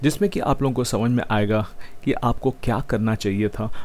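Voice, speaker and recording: This is a man with a medium-pitched voice. His pitch varies in an ordinary way. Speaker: math teacher. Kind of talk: online lecture. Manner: mixes Hindi and English.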